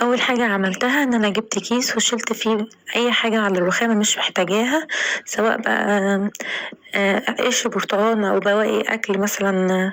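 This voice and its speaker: A woman with an Egyptian accent speaks at a fairly high pitch over noticeable background noise. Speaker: home cooking vlogger. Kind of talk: tutorial.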